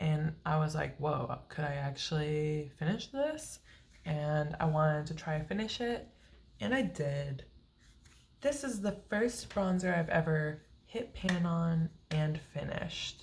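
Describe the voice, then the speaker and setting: A woman speaks quietly at a fairly slow pace, her very deep, low voice somewhat breathy and her intonation lively. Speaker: beauty vlogger. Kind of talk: casual vlog update.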